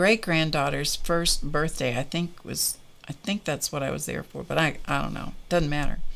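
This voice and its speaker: A woman's fairly low-pitched voice with vocal fry. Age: 70s. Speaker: art and crafting livestream host. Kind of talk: casual chat. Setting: live stream. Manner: conversational, with fillers.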